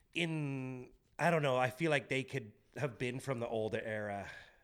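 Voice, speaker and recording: The speech comes at a moderate pace in a Canadian accent with ordinary pitch variation. The recording is very clean, with a silent background. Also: man. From southwestern Ontario, Canada. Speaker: documentary director. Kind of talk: casual chat. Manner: animated.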